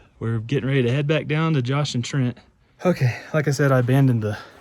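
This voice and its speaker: With noticeable background noise behind him, the man keeps a fairly quick pace and fairly even intonation. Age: 30s. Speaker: outdoor vlogger. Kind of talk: casual vlog narration. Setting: outdoors.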